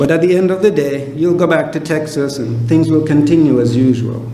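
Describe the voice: The speaker moves at a fairly quick pace with ordinary pitch variation, and the room echo is audible. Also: man, fairly high pitch for a man.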